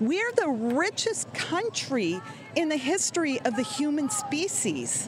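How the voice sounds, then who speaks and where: Through noticeable background noise, a woman talks with very wide swings in pitch. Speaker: nurse. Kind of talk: street interview.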